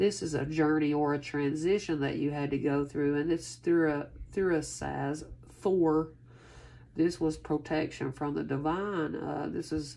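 With a very deep, low pitch, a woman speaks at a fairly slow pace and with fairly even intonation. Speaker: tarot reader. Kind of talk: casual reading to viewers. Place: home room. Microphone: phone near.

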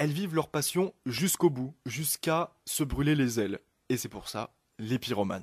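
Against a quiet background, a man speaks with lively intonation in a somewhat breathy voice, the sound dry with no echo. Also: fairly slow pace. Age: 20s. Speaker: novelist; guest. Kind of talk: radio interview. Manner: hesitant, many fillers. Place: studio.

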